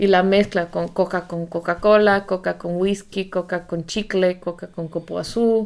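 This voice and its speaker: A woman talks at a fairly slow pace with a medium pitch and monotone, flat intonation. The recording is very clean, with a silent background. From Bolivia, Amazon lowlands. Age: 40s. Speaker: podcast co-host. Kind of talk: casual chat.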